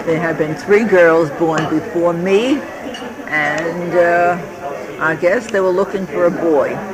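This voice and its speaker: Amid noticeable background noise and audible room echo, a woman with a fairly low pitch speaks very slowly with ordinary pitch variation. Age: 70s. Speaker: elderly mother recounting family history. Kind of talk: oral history interview. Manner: halting.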